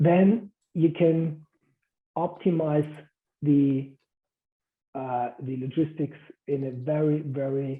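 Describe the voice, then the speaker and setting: Speaking at a very slow pace with fairly even intonation, a man leaves long, frequent pauses. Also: fairly high pitch for a man. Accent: German. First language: German. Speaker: guest speaker. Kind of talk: lecture. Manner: halting.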